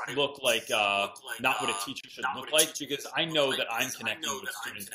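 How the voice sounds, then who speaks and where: Noticeable background noise behind a man's lively intonation, moderate in pace. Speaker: high school teacher. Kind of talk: interview answer.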